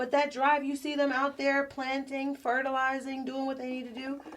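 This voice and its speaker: Using a New Jersey accent, a woman speaks at a high pitch and a moderate pace. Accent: New Jersey (US Northeast). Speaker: singer and entrepreneur, podcast guest. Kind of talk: casual chat.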